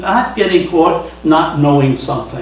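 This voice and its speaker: Amid noticeable background noise and audible room echo, a man speaks at high pitch and a moderate pace with ordinary pitch variation. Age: 70s. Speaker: professor. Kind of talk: talk to an audience. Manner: casual, conversational.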